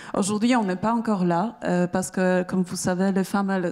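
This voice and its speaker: With fairly even intonation and a moderate pace, a woman's dark, mellow voice sits at a medium pitch. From Poland. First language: Polish (speaking French). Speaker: startup founder. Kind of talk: pitch presentation. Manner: halting, many hesitations.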